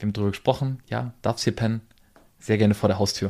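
A man's medium-pitched voice comes through in a very clean recording against a silent background. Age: 30s. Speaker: podcast host, business owner. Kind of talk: casual chat. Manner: animated.

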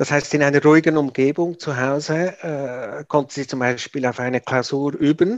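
A man's fairly high-pitched speech at a moderate pace with fairly even intonation and hardly any pauses, dry and close with no echo, over a quiet background. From Switzerland. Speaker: parent of a gifted child. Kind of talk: interview. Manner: halting, many fillers.

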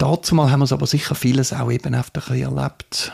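Recorded dry and close with no echo, a man with a Swiss German accent speaks at a medium pitch, somewhat breathy, with a dark, mellow tone and ordinary pitch variation. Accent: non-Bernese Swiss German dialect. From Switzerland, Zurich Oberland. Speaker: church youth and children's worker. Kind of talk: interview. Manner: halting, many fillers.

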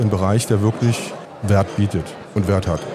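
Noticeable background noise runs under this recording. A man talks with audible room echo. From Saxony, eastern Germany (Bautzen). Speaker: dentist and amateur stock trader. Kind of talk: interview. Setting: trade fair floor.

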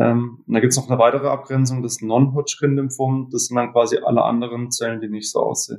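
A man talks at a fairly quick pace in a flat monotone, his pitch in the medium range. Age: 20s. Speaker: cancer survivor. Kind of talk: interview.

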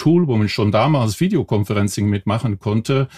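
In a Belgian accent, a man speaks in a fairly low, somewhat breathy voice with ordinary pitch variation, the sound dry and close with no echo on a very clean recording with a silent background. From Belgium. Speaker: telephony software company employee. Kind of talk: podcast interview.

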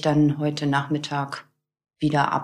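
A woman's very deep, low voice at a moderate pace. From northern Germany, near Celle. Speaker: widow telling her grief story. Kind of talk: personal testimony interview. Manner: halting, many fillers.

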